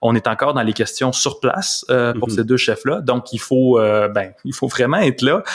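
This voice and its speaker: A plain, everyday voice, a man at a medium pitch and moderate pace, ordinary pitch variation and hardly any pauses. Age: 30s. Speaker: journalist. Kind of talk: interview.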